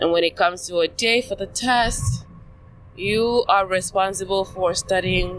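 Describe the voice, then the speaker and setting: A woman at a medium pitch talks over noticeable background noise. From Nigeria (south-south, coastal). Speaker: podcast guest. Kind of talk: casual chat. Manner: halting.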